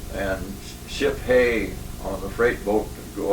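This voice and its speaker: Speaking at a fairly slow pace in a monotone, flat intonation, a man with a Northwestern US accent comes through with audible room echo and noticeable background noise. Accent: rural US Northwest. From Washington State, Lake Chelan area. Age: 80s+. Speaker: elderly local pioneer interviewee. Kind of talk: oral history interview. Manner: halting, many fillers.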